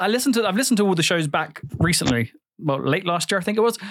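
On a very clean recording with a silent background, a man speaks in an animated tone. His pitch swings very widely. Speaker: podcast host. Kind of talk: casual chat.

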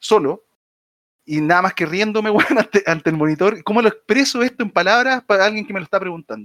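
With a dry, close sound and no echo, a man talks at a high pitch and a fairly quick pace with lively intonation. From Chile, Viña del Mar. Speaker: podcast co-host. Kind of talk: casual chat. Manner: halting, many repetitions.

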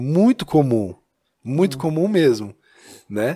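Very wide pitch swings mark a man's fairly high voice at a moderate pace. The recording is very clean, with a silent background. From Minas Gerais, Brazil (Taiobeiras, near Montes Claros). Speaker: church youth ministry leader. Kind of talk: casual chat.

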